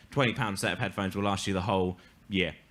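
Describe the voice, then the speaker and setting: This man speaks with an English accent. His tone is bright and sharp. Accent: English accent, self-described. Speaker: comedian. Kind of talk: stand-up storytelling. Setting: stage with audience.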